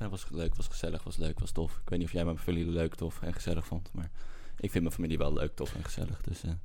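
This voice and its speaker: A man with lively intonation. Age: 40s. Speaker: podcast co-host. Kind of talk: casual chat. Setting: studio.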